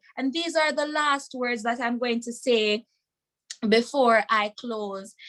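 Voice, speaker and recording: In a Jamaican accent, a woman speaks at a fairly slow pace with ordinary pitch variation. Her voice is high, bright, and sharp. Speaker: webinar speaker. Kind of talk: testimony. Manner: passionate.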